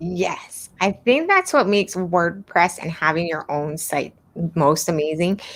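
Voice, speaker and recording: Speaking at a fairly slow pace, a woman with a slight Hawaiian accent has a fairly low voice. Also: ordinary pitch variation. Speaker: web design instructor. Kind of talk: live stream Q&A. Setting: live stream. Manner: mumbling.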